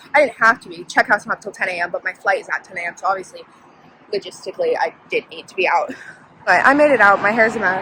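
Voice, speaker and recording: With an American accent and an animated tone, a woman talks at a very fast pace and medium pitch, with ordinary pitch variation, big swings in loudness, and noticeable background noise. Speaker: travel vlogger, student. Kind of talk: vlog, casual talk to camera. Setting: outdoors, walking through forest.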